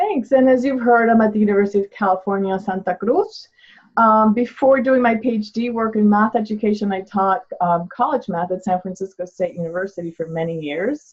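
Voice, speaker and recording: A woman talks at a fairly quick pace in a somewhat breathy, fairly high voice with ordinary pitch variation. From Argentina. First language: Spanish. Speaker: math education professor. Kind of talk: webinar presentation. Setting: online webinar.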